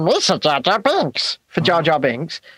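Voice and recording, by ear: Someone talks in a put-on character voice at middle pitch and a fairly slow pace.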